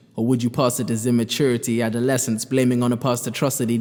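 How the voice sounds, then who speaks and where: Music plays in the background as a man speaks at a very fast pace. His medium pitch stays in monotone, flat intonation. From Kenya. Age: young. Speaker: spoken word poet. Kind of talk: spoken word poetry performance.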